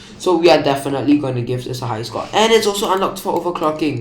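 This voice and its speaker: Speaking at a very fast pace, a man is heard through audible room echo. Noticeable background noise is present. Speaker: tech YouTuber. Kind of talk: casual tech review.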